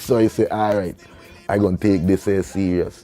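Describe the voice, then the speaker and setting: With music in the background, a man talks at a fairly quick pace in a fairly low pitch with an animated tone. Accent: Virgin Islands. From US Virgin Islands, St. Thomas. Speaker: reggae artist. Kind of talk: interview storytelling. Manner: casual, animated.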